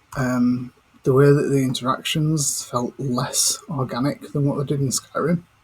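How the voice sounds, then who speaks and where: Quietly and at a moderate pace, a man with a fairly high pitch speaks with fairly even intonation over noticeable background noise. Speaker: gaming commentator. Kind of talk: casual gaming chat while playing. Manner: hushed, keeping quiet.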